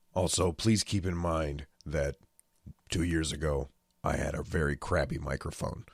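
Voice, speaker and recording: A man talks at a moderate pace in a very deep, low pitch with ordinary pitch variation and vocal fry. The sound is dry and close, with no echo. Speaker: gaming video commentator. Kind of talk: casual talk to camera.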